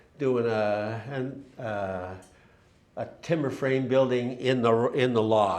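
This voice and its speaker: A man speaks with a Canadian accent, and some room echo can be heard. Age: 70s. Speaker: timber framer. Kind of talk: public talk with slides. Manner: halting, many fillers and restarts.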